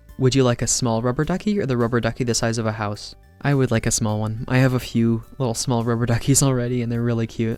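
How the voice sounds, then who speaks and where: Over music in the background, a man at medium pitch talks at a very fast pace with fairly even intonation. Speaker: ASMR artist. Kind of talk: casual talk to camera, Q and A answers.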